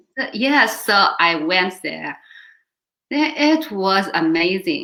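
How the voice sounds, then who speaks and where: Speaking with a Chinese accent at a very slow pace, a woman uses a medium pitch, a bright, sharp tone and very wide pitch swings. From China. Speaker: volunteer organization board member. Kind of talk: interview. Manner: halting.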